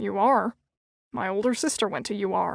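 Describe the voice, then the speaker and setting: In a growling put-on character voice of medium pitch, a woman speaks at a moderate pace, the sound dry and close with no echo. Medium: read story. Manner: polite, probing.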